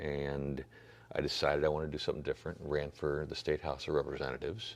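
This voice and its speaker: Vocal fry in a male voice pitched very deep and low, moving at a fairly quick clip. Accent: American. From US Midwest, St. Louis area. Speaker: political candidate. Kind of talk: interview. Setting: church. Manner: halting, many fillers and repeats.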